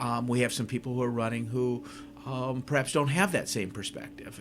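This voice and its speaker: Speaking at a medium pitch, this man has an unremarkable speaking voice. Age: 60s. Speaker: school superintendent. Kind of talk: radio interview.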